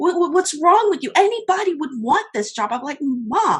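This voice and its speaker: Her bright, sharp tone swings very widely in pitch as this woman speaks. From Haiti. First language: French and Haitian Creole. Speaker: social media coach. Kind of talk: interview. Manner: animated.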